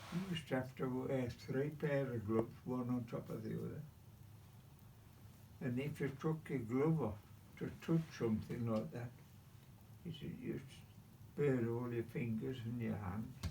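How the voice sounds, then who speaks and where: A man speaks at medium pitch in a dark, mellow tone that is somewhat breathy, with ordinary pitch variation. Long, frequent pauses break up his speech, and audible room echo surrounds it. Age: 90s. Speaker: WW2 navy veteran. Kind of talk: casual interview. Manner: repetitive.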